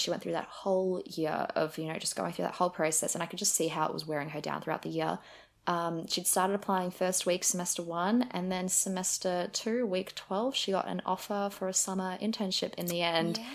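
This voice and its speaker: This woman has a normal speaking voice, fairly low in pitch, and talks at a fairly quick pace in a very clean recording with a silent background. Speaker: university student. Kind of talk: casual chat.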